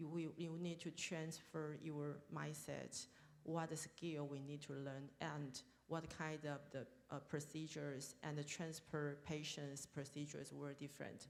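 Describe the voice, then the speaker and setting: Her pitch is very deep and low, and she speaks in a monotone, flat way. There is audible room echo around this woman. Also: fairly slow pace. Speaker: deputy health minister, panelist. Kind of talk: panel discussion. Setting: stage at international forum. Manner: halting, hesitant.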